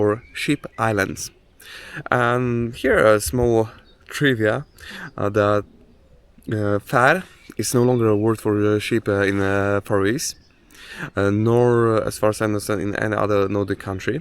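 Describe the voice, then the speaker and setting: A man with a Polish accent speaks at a fairly slow pace and fairly low pitch, with ordinary pitch variation and long, frequent pauses. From Poland. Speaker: hiking vlogger. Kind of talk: outdoor vlog narration. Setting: outdoors on a hike. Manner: halting, many fillers.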